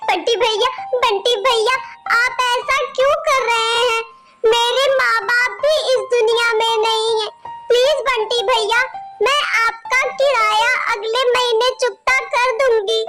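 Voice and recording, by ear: A cartoonish character voice at an extremely high pitch speaks at a very slow pace over faint music in the background.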